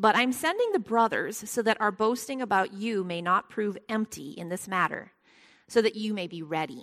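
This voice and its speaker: In a very clean recording with a silent background, a woman at a fairly high pitch speaks at a moderate pace with big swings in loudness. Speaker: Bible study teacher. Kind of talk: Bible study lesson with prayer. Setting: church Bible study, recorded for podcast. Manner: uses filler words, conversational.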